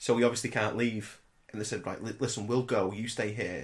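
This man has an unremarkable speaking voice, fairly low in pitch, and he talks at a fairly quick pace. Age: 30s. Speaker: podcast co-host. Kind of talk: casual chat.

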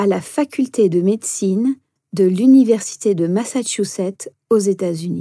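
Very clean recording, silent background, with a dry, close sound and no echo. A woman speaks at a medium pitch with a dark, mellow tone, ordinary pitch variation and a fairly slow pace. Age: 40s. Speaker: meditation instructor and coach. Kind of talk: podcast self-introduction monologue.

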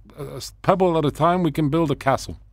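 A man with a Spanish accent, in a very clean recording with a silent background. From Venezuela. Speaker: local council candidate. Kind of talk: radio interview. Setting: radio studio. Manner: halting, repeats words.

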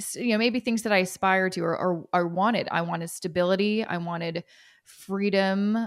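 A woman with a Canadian accent and an ordinary speaking voice talks at a fairly slow pace and medium pitch with ordinary pitch variation, recorded very cleanly against a silent background. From Canada. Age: 30s. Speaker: personal finance expert. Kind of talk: interview.

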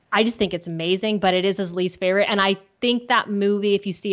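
A woman with a Californian accent. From Southern California. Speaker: film podcast guest. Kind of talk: casual chat.

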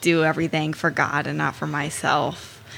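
A woman's fairly low voice has vocal fry and a bright, sharp tone. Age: 19. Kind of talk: casual chat.

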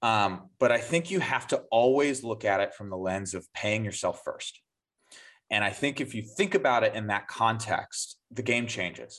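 A plain, everyday voice from a man at medium pitch, with lively intonation and a moderate pace. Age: 30s. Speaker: sales executive. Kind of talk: podcast interview.

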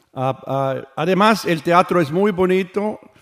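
A man's pitch varies in an ordinary way while he talks at a very slow pace. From Switzerland. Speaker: orchestra conductor. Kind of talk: radio interview. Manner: halting.

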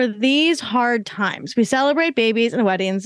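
A woman speaks in an ordinary speaking voice with a fairly high pitch and lively intonation. The background is quiet. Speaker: entrepreneur. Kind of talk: casual interview.

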